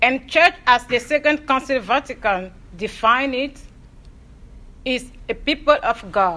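A woman's high, raised, projected voice, bright and sharp in tone, with lively intonation, a fairly slow pace, and long, frequent pauses. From Togo, Lomé. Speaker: theology student and lay minister. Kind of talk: prepared presentation. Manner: formal.

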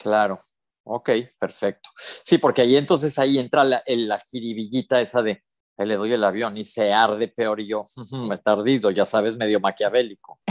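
Delivered in an ordinary speaking voice at a moderate pace with fairly even intonation, the speech has a dry, close sound with no echo. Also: man, medium pitch for a man. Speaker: podcast co-host. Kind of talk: casual chat. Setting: remote connection.

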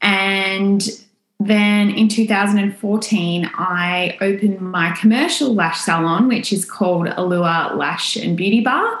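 Audible room echo carries a voice with an Australian accent and fairly even intonation. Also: woman. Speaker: lash salon owner. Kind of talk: podcast interview.

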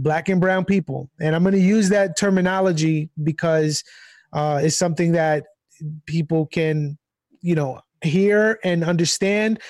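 On a very clean recording with a silent background, a man speaks at a high pitch with fairly even intonation and very even loudness, the sound dry and close with no echo. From Long Island, New York, Puerto Rican family. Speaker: former pastor. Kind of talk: interview.

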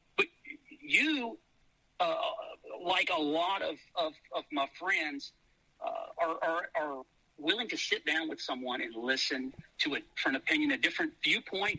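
With a Louisiana accent, a man talks at a fairly slow pace, leaving long, frequent pauses. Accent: Southern US (Louisiana). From US South, Shreveport, Louisiana. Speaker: businessman. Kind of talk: casual chat.

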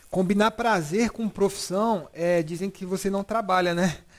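This man has a high-pitched voice and lively intonation. He talks at a moderate pace. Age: 30s. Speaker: podcast host. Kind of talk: casual chat.

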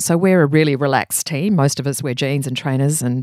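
Someone with an Australian accent speaks at a fairly quick pace on a very clean recording with a silent background. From Australia, Brisbane. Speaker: creative director. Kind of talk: interview. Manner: animated.

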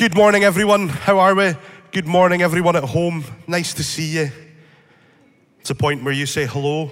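Against noticeable background noise and audible room echo, a man with a Scottish accent speaks at a moderate pace with long, frequent pauses, a fairly high pitch and ordinary pitch variation. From northeast Scotland, Speyside. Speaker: church speaker. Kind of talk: talk to church congregation. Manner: animated, joking.

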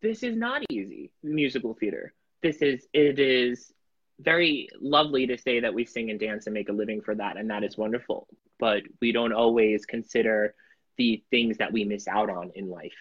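A man with an American accent, medium pitch, ordinary pitch variation and a moderate pace. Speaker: podcast guest, headshot photographer; musical theater performer. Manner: casual, conversational.

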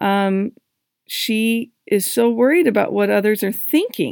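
In a very clean recording with a silent background, a woman with a fairly high pitch talks at a fairly slow pace with ordinary pitch variation. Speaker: divorce coach podcast host. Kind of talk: solo podcast monologue. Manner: emphatic when excited; animated.

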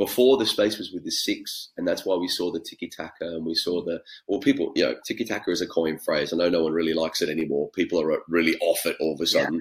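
A man with an Australian accent speaks at a very fast pace, hardly pausing at all. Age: 30s. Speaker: former professional futsal player and coach. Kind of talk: podcast interview. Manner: animated.

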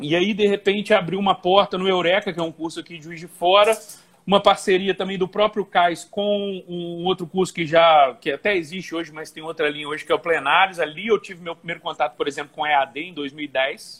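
The delivery is fairly quick with hardly any pauses, with fairly even intonation but big swings in loudness. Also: man, high pitch for a man. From Brazil, Volta Redonda, Rio de Janeiro state. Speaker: Portuguese teacher for civil service exam prep. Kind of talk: casual interview. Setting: Instagram live video call.

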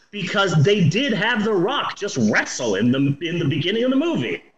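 Noticeable background noise sits under a man's voice, which shows very wide pitch swings. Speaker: podcast host, movie reviewer. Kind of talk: casual chat.

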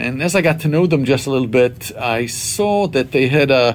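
The speaker is a man at a moderate pace. His pitch varies in an ordinary way. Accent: Israeli. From Israel. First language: Hebrew. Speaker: Bible college president. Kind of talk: interview.

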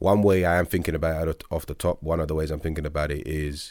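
A man's very deep, low voice at a very fast pace, with fairly even intonation and a very clean recording over a silent background. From East London (Stratford). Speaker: credit analyst. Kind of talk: casual chat.

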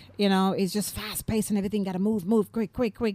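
Speaking in a Jamaican accent, a woman has a dark, mellow tone at medium pitch. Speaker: playwright and comedian. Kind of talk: interview.

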